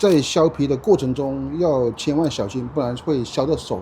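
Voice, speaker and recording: A somewhat breathy, fairly high man's voice with lively intonation. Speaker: Chinese language teacher. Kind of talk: slow, clear teaching vlog narration. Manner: slow, clear, repetitive.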